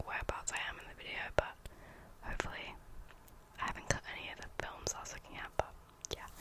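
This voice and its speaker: Someone whispers over noticeable background noise. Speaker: ASMR creator. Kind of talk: whispered ASMR rambling. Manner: whispering.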